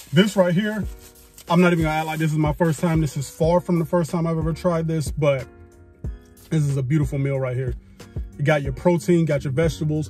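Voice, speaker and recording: Over faint music, a man talks at a very fast pace with ordinary pitch variation and a dry sound with no echo. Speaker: food vlogger. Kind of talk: casual vlog chat. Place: car. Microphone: phone near.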